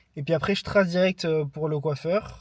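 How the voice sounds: A man speaks at a fairly slow pace with a fairly high pitch, ordinary pitch variation and a slightly mellow tone.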